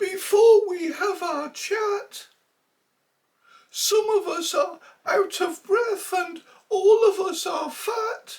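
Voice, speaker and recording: A put-on character voice at an extremely high pitch, very slow, with long, frequent pauses. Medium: read story. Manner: many voices at once.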